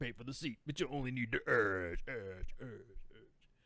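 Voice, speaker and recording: A man's put-on character voice at medium pitch, delivered at a moderate pace. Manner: loud, hyped, drawn-out.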